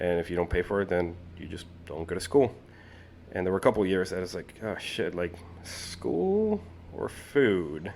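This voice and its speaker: A man talks with a very deep, low pitch. His pace is moderate and his pitch variation ordinary. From Colombia. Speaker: firefighter. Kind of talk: casual chat. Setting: podcast.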